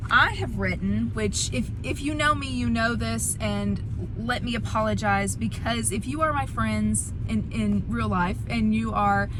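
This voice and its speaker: A woman with a Southern US accent talks at a fairly slow pace in a very deep, low voice, with hardly any pauses. Audible room echo and noticeable background noise are present. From US South, Alabama. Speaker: author and devotional book reviewer. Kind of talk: casual vlog book review. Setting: in a car.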